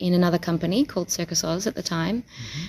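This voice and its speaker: In an Australian accent, a woman speaks at medium pitch with fairly even intonation on a very clean recording with a silent background. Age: 30s. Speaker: circus performer. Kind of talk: interview.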